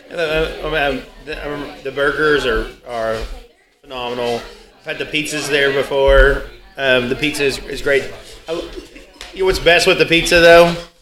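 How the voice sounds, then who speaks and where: A man speaks at a moderate pace with fairly high pitch, fairly even intonation, long and frequent pauses, and noticeable background noise. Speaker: podcast co-host. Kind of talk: casual chat.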